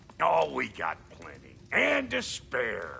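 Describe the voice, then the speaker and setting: A man puts on a raspy, gruff character voice. He speaks at a very slow pace. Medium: video game. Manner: gruff, blunt, slangy.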